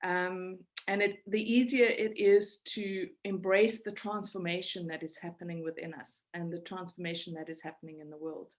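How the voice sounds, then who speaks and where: A woman speaks at a moderate pace in a medium pitch, with ordinary pitch variation and hardly any pauses. Her loudness swings widely. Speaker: spiritual teacher. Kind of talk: webinar talk. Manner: halting, many repeated words.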